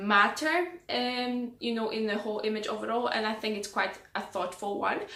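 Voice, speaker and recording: A woman with a bright, sharp tone speaks with fairly even intonation, and audible room echo can be heard. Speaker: style vlogger. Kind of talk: casual tutorial-style vlog. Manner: hesitant with many fillers.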